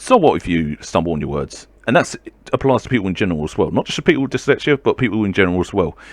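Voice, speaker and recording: Speaking at a very fast pace, a man with vocal fry makes very wide pitch swings, recorded dry and close with no echo against a quiet background. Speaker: video blogger talking about mental health. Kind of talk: casual monologue vlog. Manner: stumbles on words.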